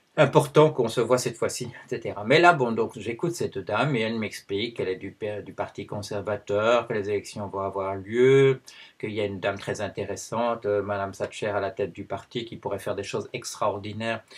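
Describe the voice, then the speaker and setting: A man speaks at a medium pitch and a fairly quick pace, with ordinary pitch variation. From Belgium. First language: Dutch (speaking French). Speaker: anthropologist and video blogger. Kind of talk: personal video commentary. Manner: hesitant, many fillers.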